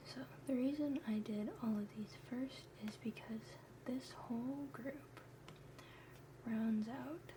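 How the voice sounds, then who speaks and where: Over noticeable background noise, someone talks at a very slow pace with long, frequent pauses. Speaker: pre-med student. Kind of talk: ASMR study lesson. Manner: whispered.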